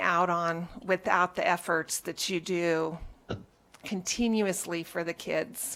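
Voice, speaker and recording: In a bright, sharp tone, a woman speaks at a medium pitch and a very slow pace, her intonation fairly even. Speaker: school board trustee. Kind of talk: public meeting remarks.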